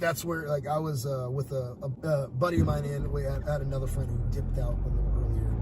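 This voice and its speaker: Noticeable background noise surrounds a man who talks very fast. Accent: American. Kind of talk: casual conversation.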